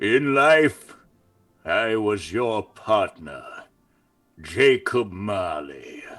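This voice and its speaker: Using a put-on character voice at a medium pitch, a man talks at a very slow pace with long, frequent pauses. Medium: stage.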